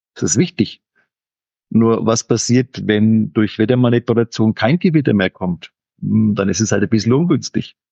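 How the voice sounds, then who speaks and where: A man speaks at a medium pitch and a moderate pace, with lively intonation. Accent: Franconian. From Franconia, Germany. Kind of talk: casual chat.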